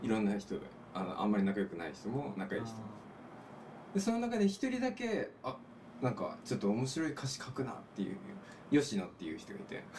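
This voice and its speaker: Over noticeable background noise, a man talks at a fairly quick pace with very wide pitch swings and long, frequent pauses. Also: medium pitch for a man. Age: 30s. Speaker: musician. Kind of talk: casual chat. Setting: small room at a home.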